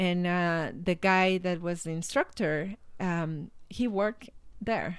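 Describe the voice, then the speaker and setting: A woman's fairly low voice with a Mexican accent, very slow pace and ordinary pitch variation. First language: Spanish. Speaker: life coach and motivational speaker. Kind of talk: interview. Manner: halting.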